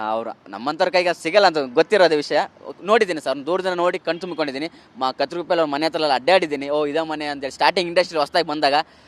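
Recorded with a dry, close sound and no echo, a man with a fairly high pitch and ordinary pitch variation speaks in an ordinary speaking voice. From Vijayanagara district, Karnataka (Kotturu, near Hosapete). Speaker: social media content creator. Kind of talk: interview.

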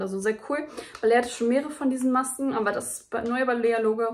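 A woman talking at a very fast pace, over light background noise. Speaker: beauty vlogger. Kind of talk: casual haul vlog chat. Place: home room. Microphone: phone near.

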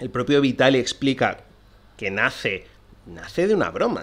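Using vocal fry and very wide pitch swings, a man talks at a fairly quick pace. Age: 30s. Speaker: film podcast host. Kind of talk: solo podcast monologue. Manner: halting.

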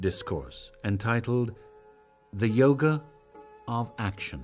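Over music in the background, a man speaks at a fairly slow pace. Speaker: narrator. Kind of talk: dramatic scripture reading.

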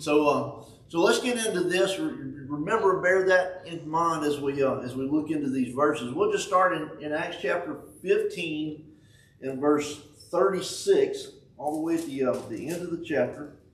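Audible room echo surrounds a fairly slow delivery with ordinary pitch variation. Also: man, high pitch for a man. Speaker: preacher. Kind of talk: sermon. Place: church. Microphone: camera far.

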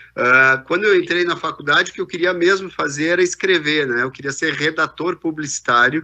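Over a quiet background, a man talks at a fairly quick pace with a bright, sharp tone, ordinary pitch variation and hardly any pauses. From southern Brazil, Rio Grande do Sul (Farroupilha); Rio Grande do Sul, Brazil. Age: 50s. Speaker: business executive; keynote speaker. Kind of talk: keynote talk. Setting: video call. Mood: relaxed storytelling. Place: hall.

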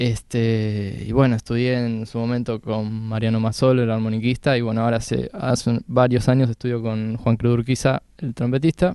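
Against a quiet background, a man with a medium pitch and a dark, mellow tone talks at a moderate pace with fairly even intonation and hardly any pauses, the sound dry with no echo. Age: 20s. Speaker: jazz harmonica player. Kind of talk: casual interview. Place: studio. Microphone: handheld.

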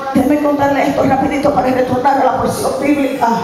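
A woman speaks in a high voice. Audible room echo and noticeable background noise come through. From Puerto Rico, Carolina. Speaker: preacher. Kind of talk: sermon. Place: church. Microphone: pa.

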